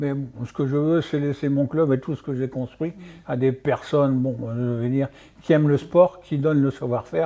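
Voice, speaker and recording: A man with a fairly high pitch speaks at a moderate pace with fairly even intonation. His tone is dark and mellow. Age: 60s. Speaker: martial arts coach. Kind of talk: radio interview. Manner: halting, many fillers.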